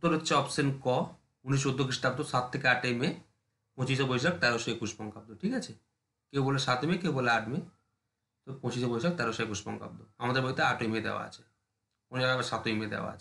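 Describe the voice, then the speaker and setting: This man's voice sits at a medium pitch with ordinary variation and a bright, sharp tone. The room echo is audible, and his loudness swings widely. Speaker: exam prep teacher. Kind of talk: lecture.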